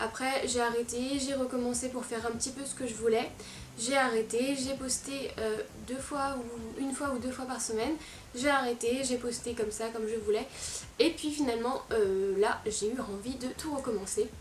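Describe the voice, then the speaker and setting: A high-pitched woman talks at a moderate pace with fairly even intonation, with audible room echo and noticeable background noise. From France, Lyon region. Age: 20s. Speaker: fashion YouTuber and blogger. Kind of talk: casual vlog talk to camera. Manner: hesitant, many fillers.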